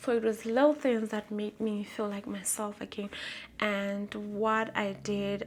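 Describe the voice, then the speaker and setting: A woman at a very slow pace, medium in pitch, with fairly even intonation and a Lesotho accent. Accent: Basotho (Lesotho) English. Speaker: vlogger. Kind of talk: personal vlog, testimony. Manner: loud and bold.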